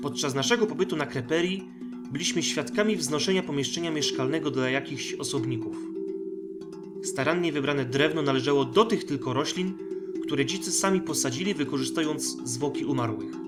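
Music plays in the background as a man speaks fairly quickly. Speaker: audiobook narrator. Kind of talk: sci-fi short story audiobook reading.

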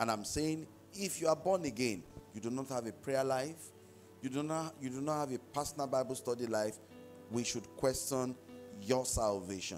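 Faint music plays in the background as a man talks with long, frequent pauses. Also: moderate pace. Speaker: pastor. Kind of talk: sermon. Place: church. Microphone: handheld.

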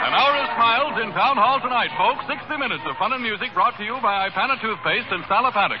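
The speech comes at a very fast pace. Music can be heard in the background. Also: man. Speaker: radio announcer. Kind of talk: radio announcer show intro. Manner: upbeat, enthusiastic. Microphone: old recording.

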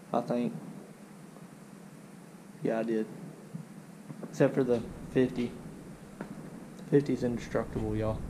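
Speaking at a fairly slow pace with long, frequent pauses, a man shows ordinary pitch variation over noticeable background noise. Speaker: vlogger. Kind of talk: casual vlog chat. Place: garage. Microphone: phone near.

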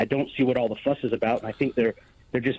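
Pitched at a medium level, a man's voice carries an American accent. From United States. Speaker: caller. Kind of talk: phone-in call. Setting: phone call.

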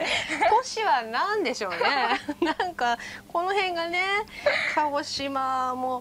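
Over light background noise, a woman talks at a very slow pace. Her high-pitched voice has very wide pitch swings. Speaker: TV announcer. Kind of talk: dialect lesson segment. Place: studio. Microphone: lapel.

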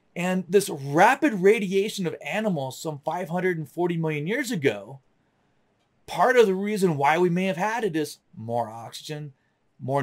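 At a moderate pace, the voice makes very wide pitch swings against a quiet background. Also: man. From US South, North Florida. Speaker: science educator. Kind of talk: lecture. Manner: casual.

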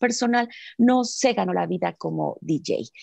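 Against a quiet background, a woman speaks at a very slow pace in a dry sound with no echo. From Mexico. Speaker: seminar co-organizer; seminar host introducing speaker. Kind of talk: reading aloud. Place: home room. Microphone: video call.

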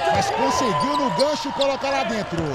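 An animated voice with a Brazilian accent moves at a moderate pace over noticeable background noise. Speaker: basketball commentator. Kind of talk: live sports commentary. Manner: animated, exclaiming.

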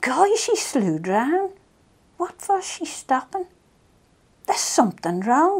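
A woman with a Manx accent, high pitch, big pitch swings, slow pace and slightly mellow tone. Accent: Manx, rural Maughold.

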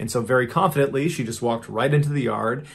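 A man at a very fast pace, with vocal fry. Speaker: storyteller host. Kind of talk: narrative storytelling.

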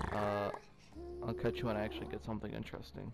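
A man talks very fast at medium pitch. Background noise is noticeable. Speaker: gaming youtuber. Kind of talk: gameplay commentary. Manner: animated.

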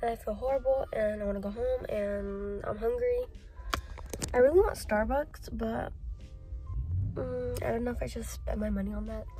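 Speaking at a moderate pace with long, frequent pauses, a woman is heard in a dry sound with no echo while music plays clearly in the background. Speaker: vlogger. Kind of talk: casual vlog chat.

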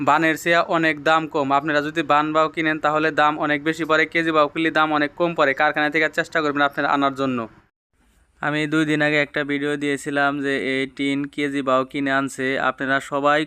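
Bright and sharp in tone, a man speaks with a fairly high pitch and a monotone, flat intonation. The recording is very clean, with a silent background. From Bangladesh, Tangail district. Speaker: tin house builder and vlogger. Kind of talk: casual vlog talk to viewers.

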